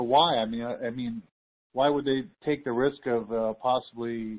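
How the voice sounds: A man talks at medium pitch with fairly even intonation. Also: moderate pace.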